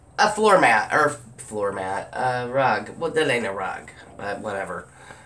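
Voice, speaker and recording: A woman at a fairly slow pace, amid audible room echo and noticeable background noise. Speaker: haul vlogger. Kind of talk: casual haul video chat. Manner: chatty, rambling.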